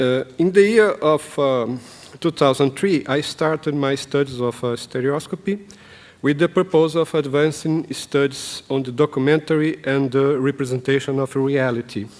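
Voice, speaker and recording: A man speaks with a Brazilian Portuguese accent at a moderate pace. His pitch is fairly high, with ordinary pitch variation. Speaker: professor and documentary filmmaker. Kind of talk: conference presentation. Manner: halting, many fillers.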